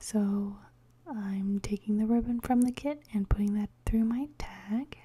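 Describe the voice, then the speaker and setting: Soft-spoken and somewhat breathy, a woman speaks at a fairly high pitch with a dark, mellow tone. Her pace is fairly slow and her intonation fairly even. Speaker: bible journaling crafter. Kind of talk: crafting tutorial voiceover. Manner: hesitant, many fillers.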